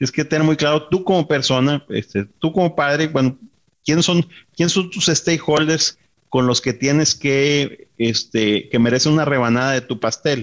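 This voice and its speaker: At a moderate pace, a man speaks with a fairly high pitch, ordinary pitch variation and very even loudness. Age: 50s. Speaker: business executive. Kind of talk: interview. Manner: halting, many fillers and repetitions.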